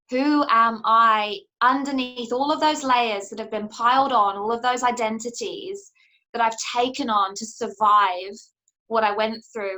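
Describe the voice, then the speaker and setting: In a New Zealand accent, a woman with a fairly high voice speaks at a fairly slow pace, her pitch varying in an ordinary way. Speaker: coach and author. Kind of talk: interview answer.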